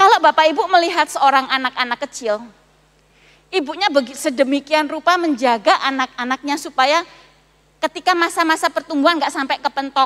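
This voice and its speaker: A woman's high-pitched, bright, sharp voice with ordinary pitch variation, dry and close with no echo. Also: fairly quick pace. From Malang, East Java, Indonesia. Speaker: pastor. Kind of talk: sermon. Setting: church service, also streamed to homes.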